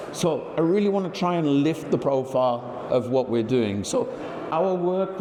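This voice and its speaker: Against noticeable background noise and audible room echo, a man talks with a Birmingham accent. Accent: English Midlands (Birmingham). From England, Birmingham. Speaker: industry executive. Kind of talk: conference presentation. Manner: shaky voice.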